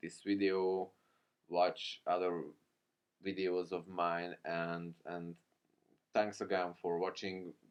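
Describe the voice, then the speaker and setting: Speaking at a very slow pace, a man with a non-native accent has a very deep, low pitch. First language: not English. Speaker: programming tutorial creator. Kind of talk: tutorial. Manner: halting.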